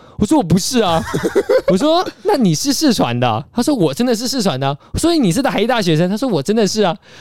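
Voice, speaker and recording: This man's high voice swings very widely in pitch. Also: very even loudness. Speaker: podcast host, film student. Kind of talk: casual chat.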